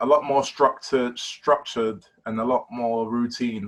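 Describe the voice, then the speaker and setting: Delivery comes at a fairly slow pace. The intonation stays fairly even. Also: man. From London, East London. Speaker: basketball player. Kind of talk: casual interview.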